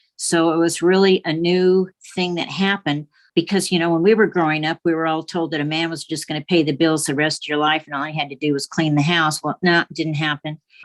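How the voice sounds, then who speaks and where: In a dry, close sound with no echo and a quiet background, a woman with a fairly low voice speaks fairly quickly in a flat monotone. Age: 70s. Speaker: artist and writer. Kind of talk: interview.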